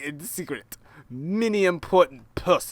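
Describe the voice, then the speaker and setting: Put-on character voice from a man, gruff and high-pitched, with lively intonation at a moderate pace. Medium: game stream. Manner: broken English, gruff.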